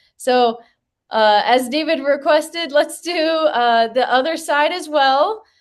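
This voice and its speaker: A loud voice with ordinary pitch variation against a quiet background. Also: woman. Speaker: physical therapist. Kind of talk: tutorial. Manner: loud and clear. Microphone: no microphone worn.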